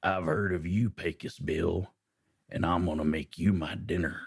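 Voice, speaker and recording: Growling, a man puts on a character voice with a very deep, low pitch. His pace is moderate. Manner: growling, threatening.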